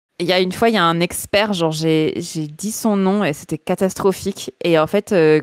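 A woman speaks at a moderate pace with ordinary pitch variation. The sound is dry with no echo, and the background is quiet. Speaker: art director, illustrator and motion designer; guest. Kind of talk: podcast interview. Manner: loosely articulated.

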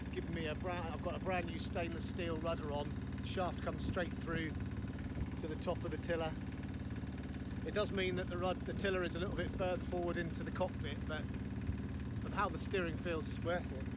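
A man speaks at a fairly quick pace, the sound dry with no echo, over loud background noise. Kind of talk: casual vlog chat. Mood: cheerful, enthusiastic. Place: boat. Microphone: phone near.

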